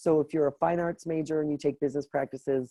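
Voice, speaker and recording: A woman's dark, mellow tone at a very fast pace. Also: dry, close sound with no echo. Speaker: career development director. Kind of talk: online information session. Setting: live online event.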